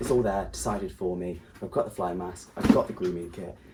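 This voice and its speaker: A man with a British accent at a fairly quick pace, against noticeable background noise. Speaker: equestrian vlogger. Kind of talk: casual vlog. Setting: shop; farm. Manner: quiet.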